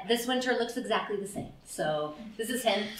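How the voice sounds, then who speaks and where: Spoken in a Canadian accent, the pitch swings very widely. Noticeable background noise and audible room echo fill the recording. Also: woman. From Canada, Ottawa, Ontario. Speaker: mindfulness teacher and career counselor. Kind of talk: lecture. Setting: stage with audience. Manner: animated.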